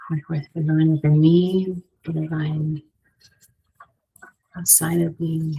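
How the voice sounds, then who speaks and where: A quiet, somewhat breathy woman's voice, very deep and low, dark and mellow in tone, flat and monotone, at a fairly slow pace with long, frequent pauses. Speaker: tarot and oracle card reader. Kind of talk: divination card reading. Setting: library. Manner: hesitant, many fillers.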